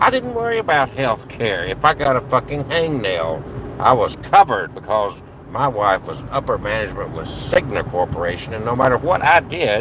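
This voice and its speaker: Noticeable background noise sits beneath a man whose voice swings very widely in pitch. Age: 60s. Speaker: vlogger. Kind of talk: personal monologue vlog. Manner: halting, with fillers.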